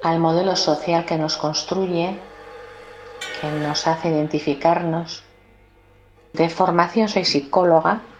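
Over music in the background, a woman with a Basque accent speaks very slowly in a fairly low pitch, with monotone, flat intonation and long, frequent pauses. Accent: Basque Spanish (Peninsular). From Basque Country, Spain (Bilbao). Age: 50s. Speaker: psychologist, feminist. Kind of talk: personal testimony.

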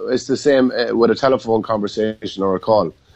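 A man speaks with a western Irish accent. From Ireland, County Mayo. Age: 40s. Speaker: former Gaelic football player. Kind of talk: interview.

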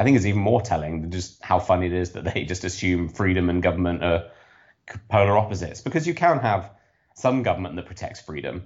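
A man speaks with a British accent. His pitch is very deep and low. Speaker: political commentator. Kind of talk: casual chat.

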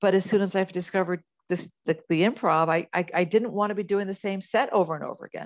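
With an American accent, a woman talks at a very fast pace. Her medium-pitched voice keeps a fairly even intonation. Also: dry, close sound with no echo. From US Midwest, Kansas. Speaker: actress and comedian. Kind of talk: interview.

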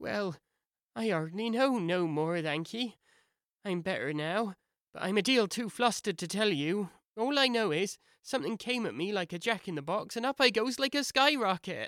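In a squeaky, put-on character voice pitched high, a man speaks at a moderate pace on a very clean recording with a silent background.

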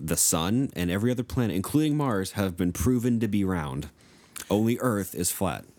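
At a moderate pace, an ordinary speaking voice moves with lively intonation while keeping its loudness very even. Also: man, fairly low pitch for a man. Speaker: podcast co-host. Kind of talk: casual chat. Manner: laid-back, jokey.

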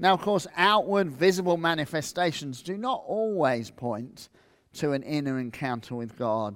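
On a very clean recording with a silent background, a man with a fairly high pitch speaks at a moderate pace, his pitch swinging very widely. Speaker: preacher. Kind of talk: sermon. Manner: animated, loud.

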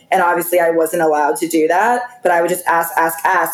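Noticeable background noise is audible while a woman talks. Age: 20s. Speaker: reality TV contestant. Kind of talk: casual chat.

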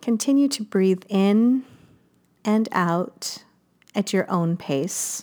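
Very slow, lively speech from a woman with a dark, mellow tone at medium pitch, with long, frequent pauses, on a very clean recording with a silent background. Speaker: meditation guide. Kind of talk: guided meditation, hushed, soothing instructions with long pauses. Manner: slow, soft-spoken, gentle, calm and warm.

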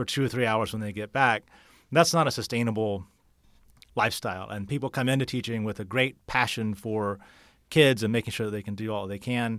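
Recorded very cleanly with a silent background, a man with an American accent and a plain, everyday voice speaks at a medium pitch with fairly even intonation. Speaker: political candidate. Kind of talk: podcast interview.

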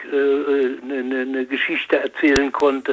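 A man talks at a very slow pace. His voice sits at a medium pitch. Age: old. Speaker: retired lubricants expert, caller. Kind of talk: phone call-in. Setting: phone call. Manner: halting.

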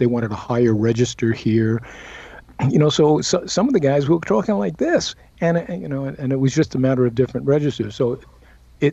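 This man has an unremarkable speaking voice, medium in pitch, with an American accent. His intonation is lively and his pace fairly quick. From US Northeast, Brooklyn. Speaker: actor. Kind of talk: interview.

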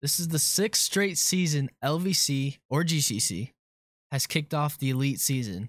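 A man with a plain, everyday voice speaks at a moderate pace in a fairly high pitch with lively intonation and very even loudness. The recording is very clean, with a silent background and a dry, close sound with no echo. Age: 20s. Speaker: intern producer. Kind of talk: quiz hosting.

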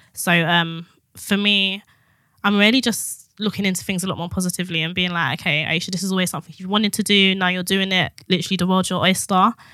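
A woman's medium-pitched, bright and sharp voice with a British accent, fairly even intonation and a very fast pace, in a very clean recording against a silent background. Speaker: writer. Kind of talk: casual chat.

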